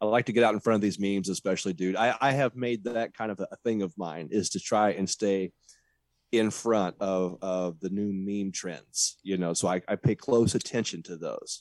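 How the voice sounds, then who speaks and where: A man with an ordinary speaking voice, fairly low in pitch with ordinary pitch variation, talks at a moderate pace in a dry, close recording with no echo and a quiet background. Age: 40s. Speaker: podcast host. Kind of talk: casual chat.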